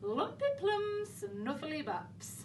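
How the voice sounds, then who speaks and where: A put-on character voice delivers its lines in a sing-song way. Clear background noise is heard behind it. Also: female-sounding voice. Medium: read story.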